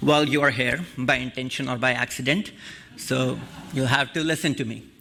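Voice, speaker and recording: A man with a strong non-native accent and medium pitch, speaking at a moderate pace with fairly even intonation over noticeable background noise. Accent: thick non-native. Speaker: guest speaker on Hinduism. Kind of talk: sermon. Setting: church service.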